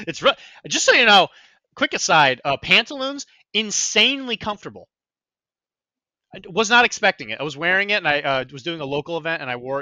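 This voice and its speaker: A man speaks loudly and very fast in a high voice, with very wide pitch swings. Long, frequent pauses break up his speech. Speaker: podcast host. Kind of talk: casual chat.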